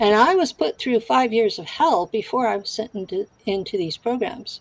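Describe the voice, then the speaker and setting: With lively intonation and a fairly high pitch, a woman speaks at a moderate pace in an unremarkable speaking voice, the sound dry and close with no echo. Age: 60s. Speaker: guest claiming insider experience. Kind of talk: interview.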